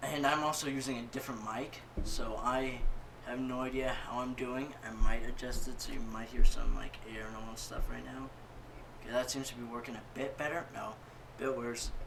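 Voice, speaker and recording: Mumbling at a moderate pace, a man with medium pitch and fairly even intonation is heard with audible room echo and noticeable background noise. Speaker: gaming YouTuber. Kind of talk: gameplay commentary.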